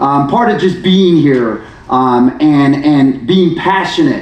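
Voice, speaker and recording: There is audible room echo and noticeable background noise as a man talks with lively intonation. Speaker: panel moderator. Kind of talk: moderated panel discussion. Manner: animated.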